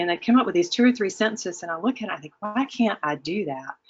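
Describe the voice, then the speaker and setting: A woman is speaking. She has a Southern US accent. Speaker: webinar presenter, academic. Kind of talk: webinar presentation. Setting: online webinar. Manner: hesitant with many fillers.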